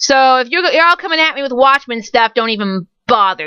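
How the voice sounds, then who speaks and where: A woman speaks at a high pitch and a fairly quick pace. Her pitch swings very widely. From California. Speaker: fandom blogger. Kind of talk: casual vlog monologue. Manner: fast; animated.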